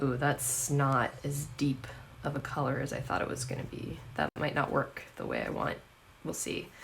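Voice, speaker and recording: Over noticeable background noise, a woman speaks in a very deep, low voice with monotone, flat intonation. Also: moderate pace. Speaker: artist streaming a painting session. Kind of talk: casual livestream painting chat. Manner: soft-spoken; halting, many fillers.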